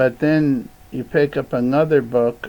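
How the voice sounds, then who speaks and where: Speaking very slowly, a man keeps his intonation fairly even. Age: 70s. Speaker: video blogger. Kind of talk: casual monologue. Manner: halting.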